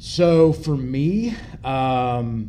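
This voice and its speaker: Heard with audible room echo, a man in a Kentucky accent speaks with a dark, mellow tone, medium pitch and ordinary pitch variation. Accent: Kentucky Southern American. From US South, rural Kentucky. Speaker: worship team guitarist, church member. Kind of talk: personal testimony interview.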